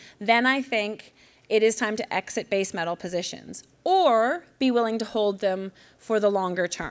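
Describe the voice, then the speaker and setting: The woman's voice sits at a fairly high pitch. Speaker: newsletter publisher, investment speaker. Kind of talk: conference presentation. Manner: fast.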